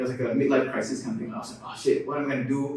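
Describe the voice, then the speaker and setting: A man speaks with a Malaysian accent and ordinary pitch variation. Noticeable background noise and an audible room echo are present. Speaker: content creator. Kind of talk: casual chat.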